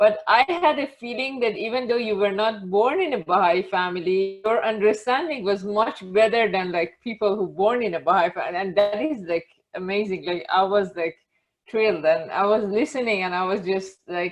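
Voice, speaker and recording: The speaker has a non-native accent, ordinary pitch variation and a moderate pace. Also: woman, medium pitch for a woman. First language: not English. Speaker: audience member. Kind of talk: Q&A comment. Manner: halting.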